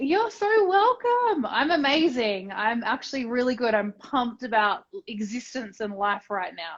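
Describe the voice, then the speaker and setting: A woman with an Australian accent, high-pitched and fairly slow, with very wide pitch swings and hardly any pauses. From Australia, Tasmania. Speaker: entrepreneur and business mentor. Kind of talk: casual interview chat.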